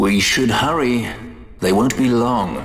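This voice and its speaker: This put-on character voice moves at a fairly slow pace. An echo can be heard. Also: man. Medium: video game. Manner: urbane, dry, ironic.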